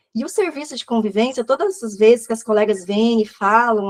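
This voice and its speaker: Her voice is fairly high for a woman. The sound is dry and close, with no echo. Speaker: social service coordinator and educator. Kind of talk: online lecture. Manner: fast.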